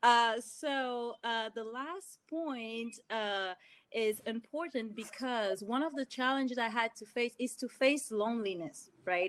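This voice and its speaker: At a very slow pace, a woman speaks in a French accent with a fairly high pitch. Her pitch varies in an ordinary way, and the recording is very clean with a silent background. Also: hardly any pauses. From Cameroon (Douala). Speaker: engineer, panelist. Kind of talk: panel discussion.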